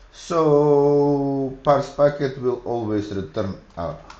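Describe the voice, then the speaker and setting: In a room with audible echo, a man speaks at a very slow pace, his fairly high pitch showing ordinary variation. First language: Macedonian. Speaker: programming streamer. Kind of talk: live coding tutorial. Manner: halting, thinking aloud.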